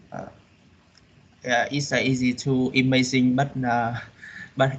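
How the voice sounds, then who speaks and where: Flat, monotone intonation and a fairly slow pace mark this voice with a Vietnamese accent. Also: man. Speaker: university student. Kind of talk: classroom answer. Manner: halting.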